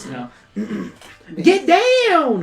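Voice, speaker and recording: This exaggerated character voice is pitched extremely high. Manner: urgent.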